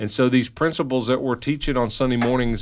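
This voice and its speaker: On a very clean recording with a silent background, a man speaks at medium pitch with a Kentucky accent. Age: 50s. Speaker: pastor and radio host. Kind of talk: casual radio talk show chat. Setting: radio studio.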